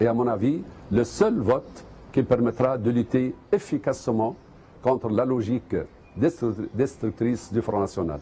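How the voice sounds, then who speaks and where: Somewhat breathy, with a dark, mellow tone, a man of medium pitch talks at a fairly slow pace with ordinary pitch variation. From Tunisia. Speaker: politician. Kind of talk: video message of support.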